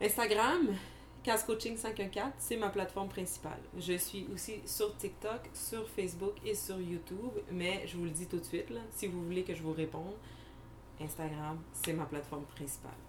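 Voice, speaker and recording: In a Quebec accent, a woman speaks at a moderate pace and medium pitch with ordinary pitch variation, amid audible room echo and noticeable background noise. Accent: Québécois French. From Montreal, Quebec (Anjou). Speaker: podcast co-host, criminologist. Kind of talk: casual chat.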